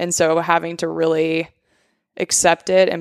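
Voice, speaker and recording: Fairly low in pitch, a woman is heard in a dry, close recording with no echo, very clean against a silent background. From Alaska (Bird Creek). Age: 30s. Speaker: food business owner. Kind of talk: casual chat.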